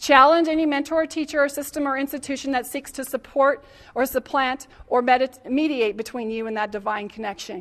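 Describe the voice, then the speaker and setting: Here a woman speaks at a high pitch. Her intonation is lively. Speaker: spiritual healer and speaker. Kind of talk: talk to a live audience.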